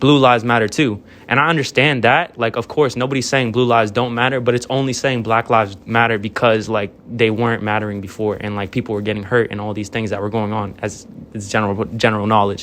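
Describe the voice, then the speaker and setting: This man talks at a very fast pace with an American accent. His pitch is medium and his intonation fairly even. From northern Virginia, US. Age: 20s. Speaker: college student. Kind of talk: casual discussion. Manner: halting, stumbles over words.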